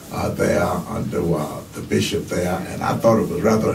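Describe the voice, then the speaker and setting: Music plays in the background as a man speaks with audible room echo. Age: 70s. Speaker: retired pastor. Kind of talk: radio interview. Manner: halting, many fillers.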